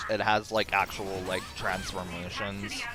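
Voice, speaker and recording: With music in the background, a man speaks in an American accent. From United States. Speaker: gaming streamer. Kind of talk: casual chat. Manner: halting, repeats words.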